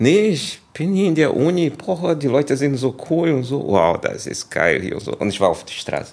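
A man's fairly high pitch in a Portuguese accent, with very wide pitch swings, a moderate pace, and hardly any pauses. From Brazil, Rio de Janeiro. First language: Portuguese (speaking German). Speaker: kung fu teacher. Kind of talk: interview. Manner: halting.

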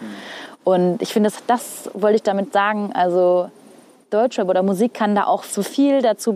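With noticeable background noise, a woman speaks in a medium pitch with ordinary pitch variation. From northern Hesse, Germany. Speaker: TV weather presenter. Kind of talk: casual chat. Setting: outdoors on a rooftop.

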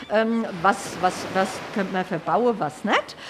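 A woman at a very slow pace against noticeable background noise. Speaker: accessibility activist. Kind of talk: interview. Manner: cheerful, laughing.

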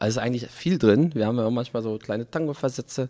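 A man speaks in an unremarkable speaking voice at a medium pitch. His pitch varies in an ordinary way, and the sound is dry and close with no echo. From Berlin, Germany. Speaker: musician. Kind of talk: casual interview. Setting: studio.

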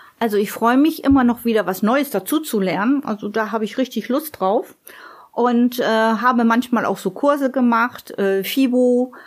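Her pitch is high and varies in an ordinary way. The woman speaks at a moderate pace. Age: 50s. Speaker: office clerk. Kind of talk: casual interview.

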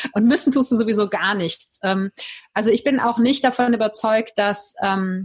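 Fairly even intonation marks this somewhat breathy voice. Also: woman. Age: 40s. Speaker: life coach. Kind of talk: interview.

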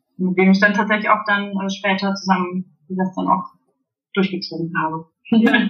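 A woman speaks in a flat monotone at a mid-range pitch and a moderate pace. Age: 30s. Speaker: indoor playground founder and childminder. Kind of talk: interview. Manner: halting, many fillers.

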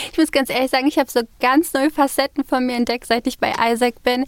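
The voice moves at a moderate pace, with a dry, close sound and no echo. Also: woman. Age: 20s. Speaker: student society officer. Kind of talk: interview. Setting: studio.

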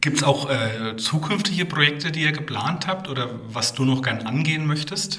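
A man's fairly high voice with hardly any pauses and ordinary pitch variation, amid noticeable background noise and audible room echo. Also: moderate pace. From Rhön, Lower Franconia/Hesse/Thuringia border, Germany. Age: 40s. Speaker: podcast host, environmental education centre manager. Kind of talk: interview.

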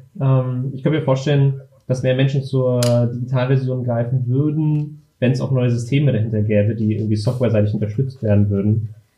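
A man's medium-pitched voice with a dark, mellow tone and some breathiness moves at a fairly quick pace. His intonation stays fairly even, and room echo is audible. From Berlin, Germany. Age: 20s. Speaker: former games video editor. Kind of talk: casual chat.

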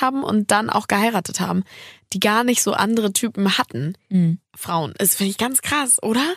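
This woman has a plain, everyday voice, fairly high in pitch with ordinary pitch variation, recorded with a dry, close sound with no echo. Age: 20s. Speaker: podcast host. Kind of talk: casual chat.

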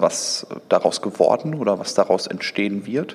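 A man talks very slowly, with background noise clearly noticeable. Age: 30s. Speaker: entrepreneur and digital executive. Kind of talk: interview. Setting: event venue overlooking Düsseldorf.

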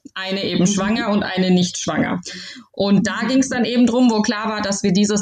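There is noticeable background noise in this clip. A woman with a fairly high pitch speaks at a moderate pace. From Baden-Württemberg, Heidelberg area. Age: 30s. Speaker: new mother and bride. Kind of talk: casual interview.

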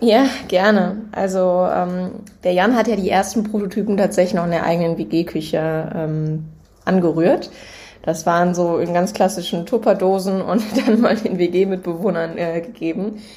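Audible room echo surrounds a woman speaking at a fairly slow pace. Her pitch is medium and her intonation fairly even. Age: 20s. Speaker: startup co-founder. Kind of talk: casual chat.

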